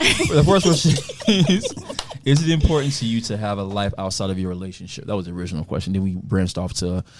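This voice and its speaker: Over noticeable background noise, a man talks very fast at a fairly low pitch with lively intonation. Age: 30s. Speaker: podcast host. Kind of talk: casual chat.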